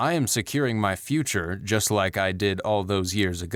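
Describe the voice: Lively intonation in plain reading aloud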